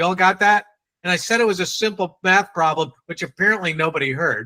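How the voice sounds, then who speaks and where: A man's raised, projected voice, high in pitch and bright and sharp in tone, with a New England accent, ordinary pitch variation and a very fast pace. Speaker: sales trainer. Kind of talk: training workshop.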